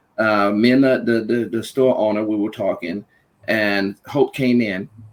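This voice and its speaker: A man with a Louisiana accent, fairly slow and fairly even in intonation. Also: medium pitch for a man. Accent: Louisiana Southern US. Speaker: panel guest. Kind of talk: personal storytelling in a podcast discussion.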